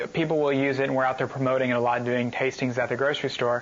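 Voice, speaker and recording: A man speaks at a very fast pace, his pitch medium. Noticeable background noise runs behind him. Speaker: family business partner, grandson. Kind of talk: interview answer.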